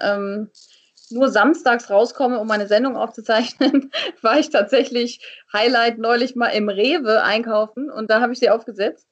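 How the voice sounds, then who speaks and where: A woman's unremarkable speaking voice, fairly high in pitch, with ordinary pitch variation at a moderate pace. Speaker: TV and radio presenter, voice-over speaker. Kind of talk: casual chat.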